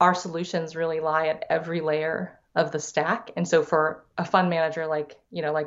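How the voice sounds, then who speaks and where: In an American accent, the speaker keeps a moderate pace with monotone, flat intonation. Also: woman. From San Diego, California (US West Coast). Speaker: venture capital investor and entrepreneur. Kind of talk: interview.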